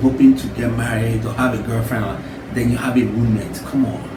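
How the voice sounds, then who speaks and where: Speaking in a Nigerian accent at a moderate pace, a man is heard with audible room echo and noticeable background noise. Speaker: YouTuber giving advice. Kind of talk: casual vlog monologue. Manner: casual, with hesitations and restarts.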